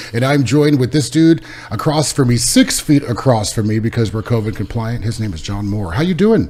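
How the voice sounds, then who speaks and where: Over noticeable background noise, a man talks at a fairly quick pace with lively intonation and a medium pitch. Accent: American. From California. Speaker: podcast host. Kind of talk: interview conversation. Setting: in person, away from home.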